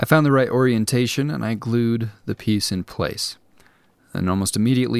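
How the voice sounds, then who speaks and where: Fairly brisk male speech with normal pitch movement, captured in a very clean recording against a silent background. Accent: Coloradan. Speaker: craft hobbyist YouTuber. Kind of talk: voice-over narration of a craft tutorial.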